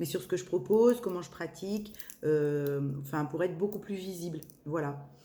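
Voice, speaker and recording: This woman has a dark, mellow tone and a fairly low pitch. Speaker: medium doing tarot channelings. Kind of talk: spiritual guidance reading. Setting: evening video recording. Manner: hesitant, many fillers.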